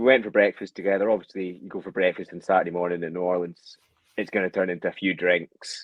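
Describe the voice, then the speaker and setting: A man speaks at a very fast pace with a Scottish accent. His pitch is very deep and low. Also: big swings in loudness. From Scotland. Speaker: football fan, podcast guest. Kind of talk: casual chat. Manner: animated.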